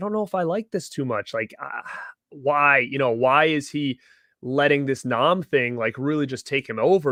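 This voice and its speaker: Against a quiet background, a man with a Rhode Island accent talks at a fairly quick pace in a bright, sharp, animated tone with ordinary pitch variation. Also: dry, close sound with no echo. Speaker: YouTube TV show reviewer. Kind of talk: casual live-stream review chat. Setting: live stream with chat. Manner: animated, many fillers and repeated words.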